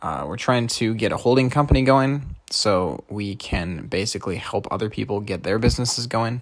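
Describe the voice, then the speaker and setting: A man with an unremarkable speaking voice talks at a moderate pace and a fairly low pitch. His pitch varies in an ordinary way, and he hardly pauses. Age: 20s. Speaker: podcaster, programmer. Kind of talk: solo monologue podcast.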